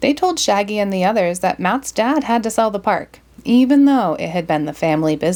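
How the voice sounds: A natural reading voice rises and falls with lively intonation.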